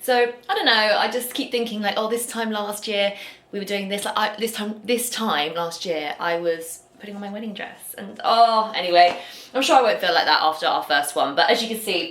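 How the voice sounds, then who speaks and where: Speaking in a southern English accent, a woman with a fairly high pitch keeps a moderate pace, her loudness swinging widely, with audible room echo and noticeable background noise. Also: ordinary pitch variation. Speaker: lifestyle vlogger. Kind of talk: casual vlog chat.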